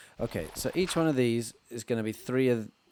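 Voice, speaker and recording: Speaking fairly slowly in an English accent with lively intonation, the voice sits on a very clean recording with a silent background. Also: man. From England. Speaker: Minecraft let's player. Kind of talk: casual gameplay commentary.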